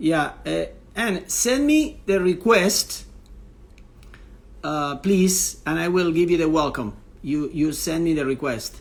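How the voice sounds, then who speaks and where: A man speaks at a fairly slow pace with a strong non-native accent. His pitch is high, with ordinary variation. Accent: strong foreign accent in English. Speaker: tennis coach and interviewer. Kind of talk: live stream chat. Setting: live online stream. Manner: hesitant, many fillers.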